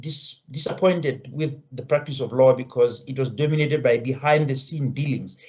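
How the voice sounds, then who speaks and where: A man's somewhat breathy voice, fairly high in pitch with ordinary pitch variation, at a fairly quick pace. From Lesotho. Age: 60s. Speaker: education professor. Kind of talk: interview conversation. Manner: halting, with repetitions.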